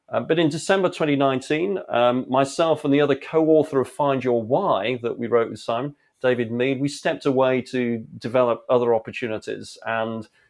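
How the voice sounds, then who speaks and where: A man with an English accent at a fairly quick pace, with hardly any pauses. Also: medium pitch for a man, ordinary pitch variation. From England. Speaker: leadership speaker and author. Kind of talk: interview. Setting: home studio.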